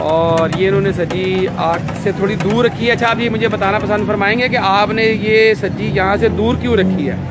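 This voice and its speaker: Loud background noise surrounds a man speaking at a moderate pace with ordinary pitch variation. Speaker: food vlogger. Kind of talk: casual street food vlog with questions. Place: market.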